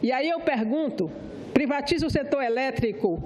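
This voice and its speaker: Noticeable background noise and audible room echo around a woman's speech with lively intonation. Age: 60s. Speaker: senator. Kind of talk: parliamentary speech. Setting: senate floor.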